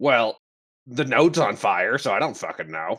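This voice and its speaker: At a moderate pace, a man performs a raspy, put-on character voice. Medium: actual play. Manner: blunt, defensive.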